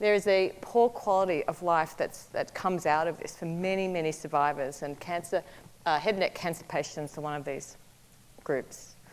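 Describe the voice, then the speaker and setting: With an Australian accent, a woman talks at a moderate pace in a fairly low pitch with ordinary pitch variation. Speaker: biomedical researcher. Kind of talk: research talk. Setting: stage with audience.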